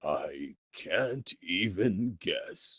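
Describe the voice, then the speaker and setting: A man puts on a raspy character voice. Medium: read story. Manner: dry, skeptical.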